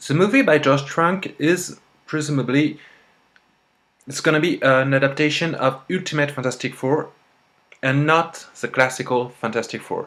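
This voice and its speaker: A man with a strong French accent speaks at a moderate pace and a fairly high pitch. His intonation is fairly even, broken by long, frequent pauses. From France. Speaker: vlogger. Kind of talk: casual vlog monologue. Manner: halting, with repetitions and fillers.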